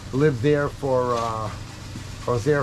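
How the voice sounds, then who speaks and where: A man speaks at a medium pitch, at a fairly slow pace with fairly even intonation. Room echo is audible, and background noise is noticeable. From New England (Cape Cod, Massachusetts). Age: 70s. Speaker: bait shop worker. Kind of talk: interview.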